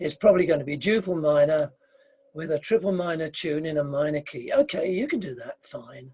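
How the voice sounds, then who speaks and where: With an English accent, a man speaks at a fairly quick pace in a dark, mellow tone, with a fairly high pitch, ordinary pitch variation and big swings in loudness. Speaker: dance caller and composer. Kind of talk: interview.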